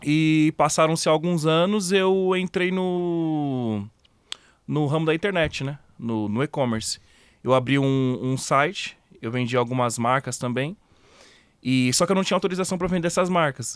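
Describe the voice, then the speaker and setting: In a very clean recording with a silent background, a man with a normal speaking voice talks at a fairly slow pace, his pitch fairly high with ordinary pitch variation. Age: 30s. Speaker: online retailer. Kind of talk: casual interview chat.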